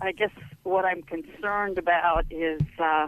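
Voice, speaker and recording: A woman talks at a fairly slow pace with fairly low pitch and ordinary pitch variation. Hers is a plain, everyday voice. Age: 60s. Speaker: caller. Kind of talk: call-in question. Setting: phone call.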